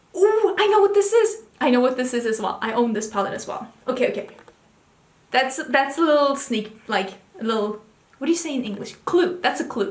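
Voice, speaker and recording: A woman with a non-native accent speaks in an enthusiastic tone at a fairly quick pace, with noticeable background noise. Her pitch is high and swings very widely. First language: not English. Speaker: beauty video creator. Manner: enthusiastic, chatty.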